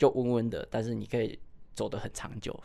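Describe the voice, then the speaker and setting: Here a man talks at a medium pitch. His delivery is monotone and flat. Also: very clean recording, silent background. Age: 30s. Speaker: running coach. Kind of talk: interview.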